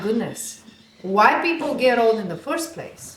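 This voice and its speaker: A woman with a Bulgarian accent speaks at a moderate pace in a fairly high voice with ordinary pitch variation and an animated tone. Noticeable background noise and audible room echo fill the recording. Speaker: fitness studio owner. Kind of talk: podcast interview.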